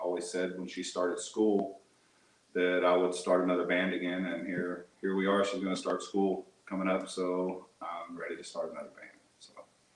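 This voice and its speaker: With a strong Texan accent, a man talks at a moderate pace in a fairly low voice, with noticeable background noise and audible room echo. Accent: thick Texan. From Texas, Houston area. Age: 40s. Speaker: musician. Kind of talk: interview.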